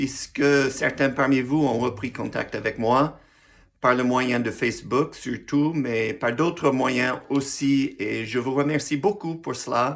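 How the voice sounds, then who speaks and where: Speaking very slowly at a fairly high pitch, a man comes through on a very clean recording with a silent background. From US Midwest, Missouri. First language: English (speaking French). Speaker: pastor. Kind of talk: personal video message, testimony. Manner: halting, with hesitations.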